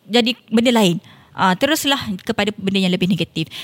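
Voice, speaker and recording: A woman speaks with a Malaysian accent and lively intonation. The sound is dry and close with no echo. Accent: Malaysian Malay. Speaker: politician. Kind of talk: casual interview.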